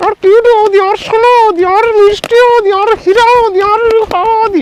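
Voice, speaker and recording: A man puts on a cartoonish character voice with an extremely high pitch. He talks at a moderate pace. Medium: puppet.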